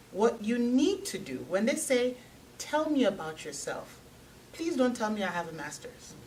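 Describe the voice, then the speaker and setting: With audible room echo, a woman speaks at a high pitch and swings very widely through her range. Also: moderate pace. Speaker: technology recruiter. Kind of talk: panel talk to audience.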